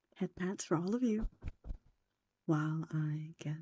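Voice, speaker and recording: Someone whispers. The delivery is fairly slow. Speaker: vtuber streamer. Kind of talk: live stream chat. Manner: whispering; soft-spoken.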